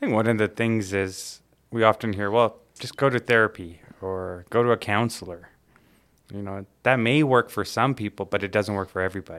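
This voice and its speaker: In a very clean recording with a silent background, a man with a fairly low voice and a normal speaking voice talks at a moderate pace, with fairly even intonation and big swings in loudness. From Calgary, Canada (born in Tanzania). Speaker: recovering alcoholic, podcast guest. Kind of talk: casual interview chat.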